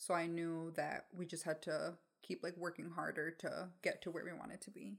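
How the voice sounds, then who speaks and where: Speaking at a moderate pace, a woman uses a fairly low pitch with vocal fry and ordinary pitch variation. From Mexico, raised in Michigan, US. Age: 20s. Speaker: podcast co-host. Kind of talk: casual chat. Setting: home recording with dog, video.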